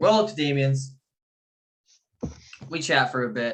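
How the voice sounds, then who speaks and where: A man speaks loudly. His pitch swings very widely. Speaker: fitness podcast co-host. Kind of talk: casual chat. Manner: animated.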